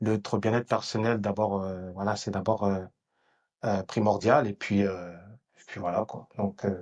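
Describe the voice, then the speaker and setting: The man talks at a moderate pace, and the background is quiet. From France. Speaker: entrepreneur and political activist. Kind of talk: podcast conversation. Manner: hesitant, many fillers.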